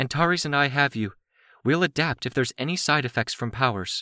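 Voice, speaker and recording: In a put-on character voice at a fairly quick pace with ordinary pitch variation, the speaker comes through a dry, close sound with no echo on a very clean recording with a silent background. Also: man, fairly high pitch for a man. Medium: read story. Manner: calm, measured.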